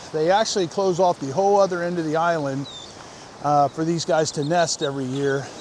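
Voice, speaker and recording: A man's fairly high-pitched voice at a fairly quick pace with ordinary pitch variation, over noticeable background noise. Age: 60s. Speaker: vlogger. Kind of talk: casual vlog narration. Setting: outdoors, riding a bike on the beach. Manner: casual, many fillers.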